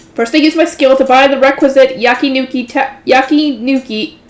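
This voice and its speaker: With noticeable background noise, the speech runs on with hardly any pauses. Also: woman. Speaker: light novel reader, channel host. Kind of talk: reading aloud with commentary. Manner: fast; stumbles over words.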